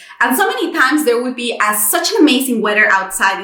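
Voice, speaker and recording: A woman speaks in a Spanish accent with a bright, sharp tone and lively intonation. Audible room echo surrounds her voice. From Mexico. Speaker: content creator. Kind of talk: personal vlog monologue. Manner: frequent fillers and repetitions.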